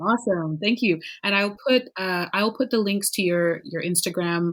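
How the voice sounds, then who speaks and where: In a normal speaking voice, a woman talks at a moderate pace with a medium pitch and ordinary pitch variation. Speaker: podcast host and language teacher. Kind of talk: casual interview chat. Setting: video call.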